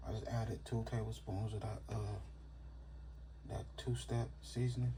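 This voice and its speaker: A man's very deep, low voice in a relaxed tone, with audible room echo and noticeable background noise. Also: fairly even intonation, moderate pace. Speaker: home cooking channel host. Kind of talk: cooking tutorial. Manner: casual, relaxed.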